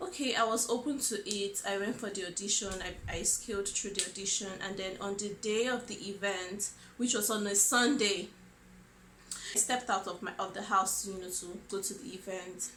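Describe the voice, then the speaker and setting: Fairly even intonation and a medium pitch from a woman in a Nigerian accent, at a moderate pace, with audible room echo. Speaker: vlogger. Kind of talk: personal storytelling vlog. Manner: hesitant, many fillers.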